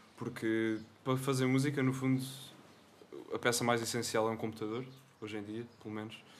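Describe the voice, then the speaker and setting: A man talks at a fairly quick pace in a flat monotone, with long, frequent pauses and audible room echo. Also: medium pitch for a man. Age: 20s. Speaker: young musician. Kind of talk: casual chat. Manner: serious.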